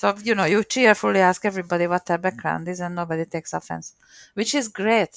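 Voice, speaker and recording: In a strong Hungarian accent, a woman talks very fast at a fairly low pitch. The sound is dry and close, with no echo. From Hungary, Miskolc. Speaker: program manager. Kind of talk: interview.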